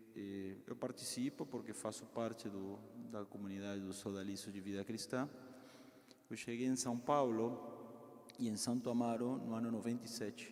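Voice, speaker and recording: With a Peruvian accent, the speaker keeps a moderate pace and fairly even intonation in a room with audible echo. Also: man. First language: Spanish (speaking Portuguese). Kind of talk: talk to parish group. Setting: parish hall, in person and streamed.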